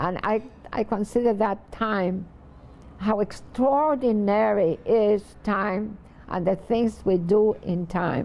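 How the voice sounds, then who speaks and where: This woman speaks very slowly, at a medium pitch. Her pitch varies in an ordinary way. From Puerto Rico (Vieques), then New York from age 12. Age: 90s. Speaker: poet. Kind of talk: reflective interview. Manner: halting, with frequent fillers.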